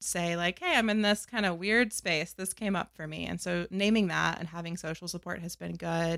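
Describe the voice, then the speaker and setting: An ordinary speaking voice with an American accent talks at a moderate pace with fairly even intonation, on a very clean recording with a silent background. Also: woman, fairly low pitch for a woman, hardly any pauses. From US South, North Carolina. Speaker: author and academic. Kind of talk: interview.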